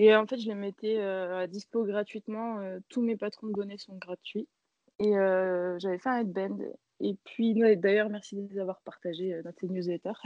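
A woman with an unremarkable speaking voice talks at a fairly slow pace, medium in pitch and fairly even in intonation. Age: 30s. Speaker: knitting designer. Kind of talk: interview.

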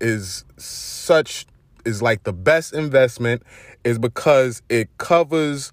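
With a Brooklyn accent, a man speaks in an energetic tone with lively intonation on a very clean recording against a silent background. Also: dry, close sound with no echo. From Brooklyn, New York. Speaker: podcast host. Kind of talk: informal street slang. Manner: casual, energetic slang-heavy delivery.

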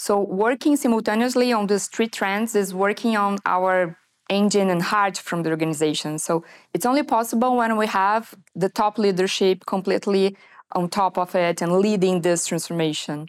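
A woman's medium-pitched voice with a Portuguese accent. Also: ordinary pitch variation, moderate pace, very even loudness, very clean recording, silent background. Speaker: management consultant. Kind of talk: interview. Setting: studio.

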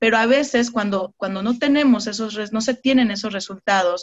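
A woman with a fairly high pitch speaks at a moderate pace. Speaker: network marketing team leader. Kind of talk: online mentoring session. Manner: animated.

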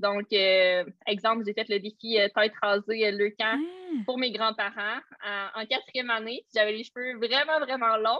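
A woman speaks with a Quebec accent. Her pitch is fairly high. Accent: Québécois French. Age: 20s. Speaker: social media coach. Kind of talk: casual chat. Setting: video call. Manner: energetic.

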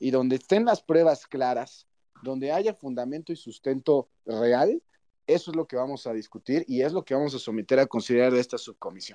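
Dark, mellow male voice at a medium pitch, moderate pace and ordinary pitch variation, with a dry, close sound and no echo. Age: 30s. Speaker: politician. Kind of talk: interview.

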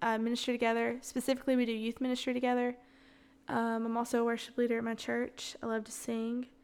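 With an American accent, a woman speaks at a fairly high pitch in a monotone, flat intonation. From US South, Alabama. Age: 20s. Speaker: podcast host, church ministry worker. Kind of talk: casual chat, solo Q&A. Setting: home kitchen recording. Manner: casual, unscripted, conversational.

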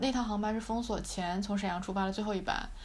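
With fairly even intonation, a woman speaks in an unremarkable speaking voice at a fairly high pitch. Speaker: university student podcast host. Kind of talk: casual chat.

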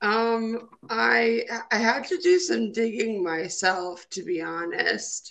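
In an Upper Midwest accent, a woman talks at a very slow pace with very wide pitch swings. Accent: Upper Midwest American. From Minnesota, US Midwest. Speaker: trombonist and cancer survivor. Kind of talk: interview. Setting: phone call.

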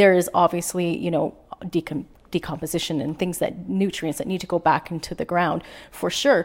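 A woman with a Canadian accent speaks at a moderate pace in a normal speaking voice, fairly low in pitch with ordinary variation. The recording is very clean, with a silent background. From British Columbia, Canada. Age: 40s. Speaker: small-town mayor. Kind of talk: interview conversation.

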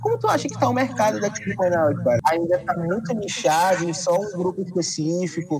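Hardly pausing, a man talks at a fairly quick pace with lively intonation and a high pitch. Background noise is noticeable. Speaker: podcast host. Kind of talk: casual chat.

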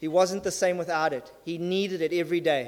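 With ordinary pitch variation, a man talks at a high pitch. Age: 40s. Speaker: guest preacher. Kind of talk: sermon. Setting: church service. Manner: fast; halting, many fillers.

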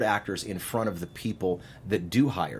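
An American accent marks this man's ordinary speaking voice, which has lively intonation. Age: 50s. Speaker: casting director. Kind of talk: interview. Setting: studio.

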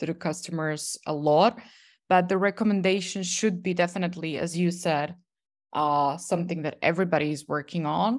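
In an ordinary speaking voice, a woman talks at a moderate pace with fairly low pitch and ordinary pitch variation. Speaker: podcast host, researcher. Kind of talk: interview. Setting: video call.

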